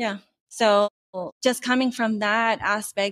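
A woman speaks at a moderate pace with a fairly high pitch and ordinary pitch variation. It's an unremarkable speaking voice, dry and close with no echo. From California, Mexican heritage. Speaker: corporate employee and employee group leader. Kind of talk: interview.

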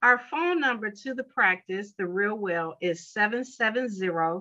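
Lively in intonation, a woman with an American accent speaks in a bright, sharp tone. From Chicago, US Midwest. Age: 50s. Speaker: college marketing professor and wellness entrepreneur. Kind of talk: interview.

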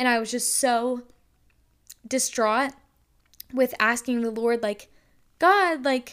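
A normal speaking voice with an American accent and fairly even intonation comes through in a very clean recording with a silent background. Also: woman. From North Carolina. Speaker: podcast host, college student. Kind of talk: casual faith-based monologue. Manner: casual, filler-heavy (um, like).

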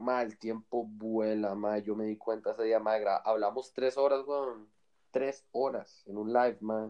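In a medium-pitched voice, a man speaks with flat, monotone intonation. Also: fairly slow pace. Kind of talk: casual chat. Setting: call recorded on iPad. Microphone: iPad mic, sounds far away.

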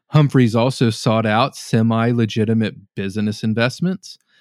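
A man with an American accent has an unremarkable speaking voice at medium pitch and a fairly slow pace. The recording is very clean with a silent background, dry and close with no echo. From Norman, Oklahoma. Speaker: paranormal podcaster. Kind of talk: storytelling read from notes.

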